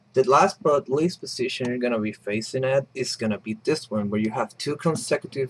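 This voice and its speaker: At a moderate pace and a medium pitch, a man talks with lively intonation and hardly any pauses. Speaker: puzzle tutorial maker. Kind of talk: tutorial. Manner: casual, hesitant with fillers.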